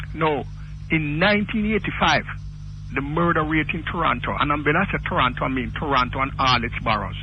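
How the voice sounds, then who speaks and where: Noticeable background noise and audible room echo surround a man with a Jamaican accent who speaks at a fairly quick pace in a fairly high pitch. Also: ordinary pitch variation. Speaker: caller. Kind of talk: phone-in call. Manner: animated.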